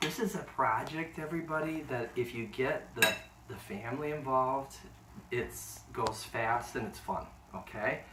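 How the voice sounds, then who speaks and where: Animated and with lively intonation, a man speaks at a moderate pace in a medium pitch. Noticeable background noise and audible room echo fill the recording. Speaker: home cooking video host. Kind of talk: cooking tutorial.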